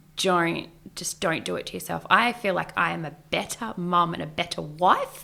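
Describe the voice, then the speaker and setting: A woman speaks at a fairly slow pace and fairly low pitch, with a bright, sharp tone and vocal fry. The recording is very clean, with a silent background. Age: 40s. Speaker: beautician and burlesque performer. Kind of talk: casual chat. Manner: animated.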